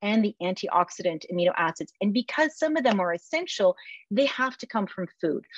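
A woman has an ordinary speaking voice with a fairly high pitch and lively intonation. The sound is dry and close with no echo. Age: 50s. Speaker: food company founder and CEO. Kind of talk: interview.

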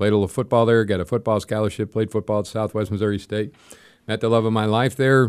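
The voice is unremarkable, with an American accent. Its intonation stays fairly even. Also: man. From US Midwest, South St. Louis. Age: 60s. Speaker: parishioner, former football player. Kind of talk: interview.

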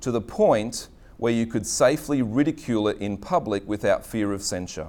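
This man talks at a moderate pace. His medium pitch shows ordinary pitch variation. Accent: Australian. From Australia, Queensland (Redcliffe). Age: 40s. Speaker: pastor. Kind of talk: sermon. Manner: halting.

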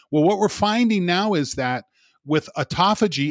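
Lively intonation comes through in a very clean recording with a silent background and a dry, close sound with no echo. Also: man. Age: 50s. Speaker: sports scientist. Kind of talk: casual chat.

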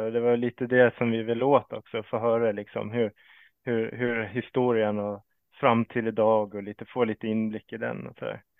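A man talks at a moderate pace and medium pitch in a monotone, flat intonation. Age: 40s. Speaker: podcast host. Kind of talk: casual chat. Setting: video call.

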